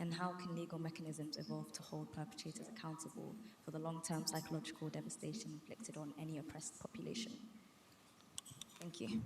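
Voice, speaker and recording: A woman speaks very fast in a very deep, low pitch with vocal fry and ordinary pitch variation. Audible room echo surrounds her voice. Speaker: student audience member. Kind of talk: audience question. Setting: university event with audience.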